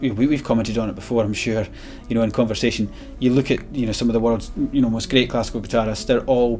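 A man's very fast, flat monotone delivery over faint background music. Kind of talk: interview conversation. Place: shop.

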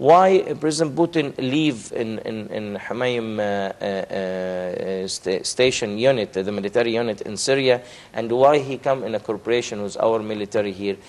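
With an Arabic accent and hardly any pauses, a man talks at a moderate pace and a medium pitch, with ordinary pitch variation. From Egypt. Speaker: diplomat; guest. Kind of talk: TV interview. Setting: studio. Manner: halting, many repetitions. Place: studio. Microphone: lapel.

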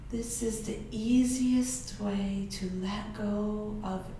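Speaking very slowly, a woman with a fairly high voice holds a fairly even intonation, with audible room echo and light background noise. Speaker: yoga instructor. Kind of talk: guided meditation. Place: home room.

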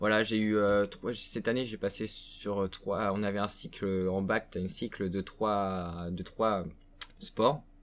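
Pitched fairly low, a man speaks at a very slow pace in a monotone, flat intonation. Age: young. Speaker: gaming YouTuber. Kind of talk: casual vlog to viewers. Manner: hesitant, many fillers. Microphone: webcam.

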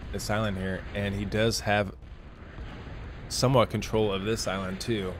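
Audible room echo surrounds a man's fairly low voice. He keeps a moderate pace and fairly even intonation. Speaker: game commentator. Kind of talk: live commentary. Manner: casual, hesitant with fillers.

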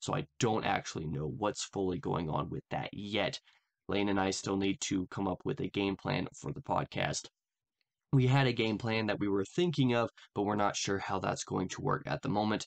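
An unremarkable speaking voice from a man, fairly low in pitch, with lively intonation. He talks at a moderate pace over a quiet background. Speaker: channel host. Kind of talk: casual vlog update. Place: home room. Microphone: earbuds.

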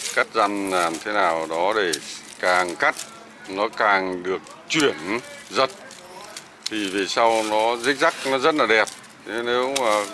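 A man speaks very slowly in a fairly low voice with ordinary pitch variation, and there is noticeable background noise. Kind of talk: tutorial. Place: garden.

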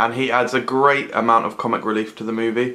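At a fairly quick pace, a man is talking. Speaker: film reviewer. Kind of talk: movie review commentary. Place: home room. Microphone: phone near.

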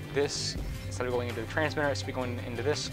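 Clear music can be heard in the background. Over it, a man talks. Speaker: video creator. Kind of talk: casual vlog chat. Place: home room. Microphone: lapel.

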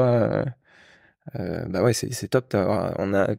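This man's dark, mellow voice has fairly even intonation, recorded dry with no echo against a quiet background. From Normandy, France (Le Havre); Normandy, France. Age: 30s. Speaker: corporate employee and property investor. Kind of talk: casual chat. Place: home room. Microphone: handheld.

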